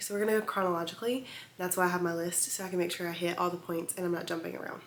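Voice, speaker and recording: A woman's fairly even-toned voice amid noticeable background noise and audible room echo. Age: 20s. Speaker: vlogger, teacher on maternity leave. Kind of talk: casual storytime vlog. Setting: home video recording with ring light. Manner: chatty, frequent 'um' and 'like' fillers.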